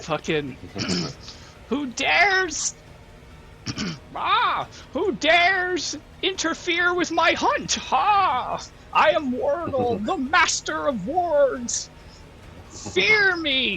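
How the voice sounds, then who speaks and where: A man's put-on character voice, extremely high-pitched and very slow, with long, frequent pauses over clear background noise. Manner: menacing, boastful.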